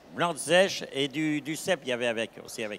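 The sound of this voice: Fast and lively in intonation, a man speaks at a medium pitch with a fairly bright tone.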